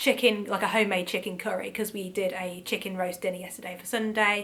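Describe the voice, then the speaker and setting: Against noticeable background noise, a woman talks at a fairly quick pace with a medium pitch. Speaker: vlogger. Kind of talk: casual vlog. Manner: chatty, with many fillers.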